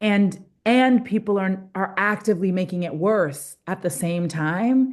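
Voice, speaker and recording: Against a quiet background, a woman with an ordinary speaking voice talks at a fairly slow pace and medium pitch, with ordinary pitch variation. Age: 40s. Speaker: pastor and climate activist. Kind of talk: facilitating group discussion. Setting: video call.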